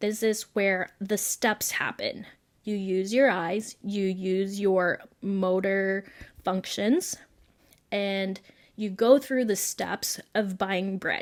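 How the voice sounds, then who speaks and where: Delivery is very slow, with fairly even intonation. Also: woman, medium pitch for a woman. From Philippines. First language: Tagalog. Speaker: podcast host. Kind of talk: casual talk, explanatory monologue.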